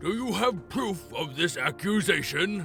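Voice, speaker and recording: Putting on a character voice at a high pitch, a man talks at a moderate pace with clear music in the background. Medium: audio drama. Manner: grandiose, commanding.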